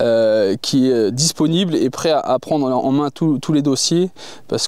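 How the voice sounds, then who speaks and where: On a very clean recording with a silent background, a man speaks with a fairly high pitch, a dark, mellow tone and ordinary pitch variation. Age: 40s. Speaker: farmer and agricultural union candidate. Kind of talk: interview. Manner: hesitant, many filler sounds.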